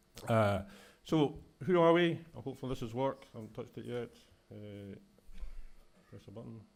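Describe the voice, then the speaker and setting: Speaking fairly quickly with a Scottish accent, a man uses a medium pitch and lively intonation, with big swings in loudness and long, frequent pauses. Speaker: executive director of a public environmental body. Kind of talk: conference talk. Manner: fast.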